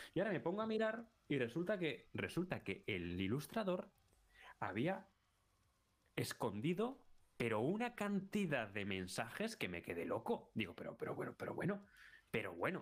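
A man speaks at a high pitch with very wide swings in his voice, broken by long, frequent pauses. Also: moderate pace. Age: 30s. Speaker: YouTuber, film and series analyst. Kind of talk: casual chat.

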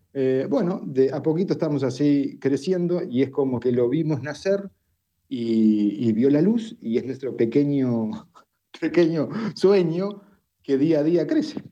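A man speaks at a fairly slow pace with a dark, mellow tone, fairly high pitch and lively intonation. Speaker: family doctor and social network founder. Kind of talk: live audio room discussion.

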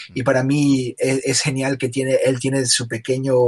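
A man is speaking. His voice is somewhat breathy. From Ecuador, Guayaquil. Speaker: illustrator and animator. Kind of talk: casual interview. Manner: halting, many fillers and repetitions.

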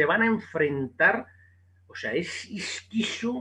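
A man speaks with very wide pitch swings. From Basque Country, Spain (Bilbao). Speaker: boxing journalist. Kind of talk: casual interview.

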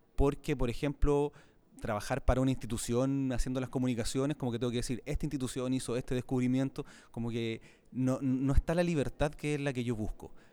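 A man's medium-pitched, dark and mellow voice in a Chilean accent, fairly quick, with fairly even intonation. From Chile, Santiago. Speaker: astronomy podcaster and science communicator. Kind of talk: casual interview. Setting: convention centre.

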